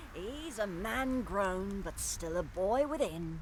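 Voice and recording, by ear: A put-on character voice at a middle pitch and fairly slow pace, with clear background noise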